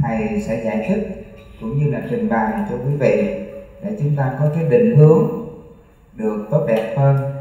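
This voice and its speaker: Strong room echo surrounds a man who speaks very slowly, his pitch swinging very widely. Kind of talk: sermon. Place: hall.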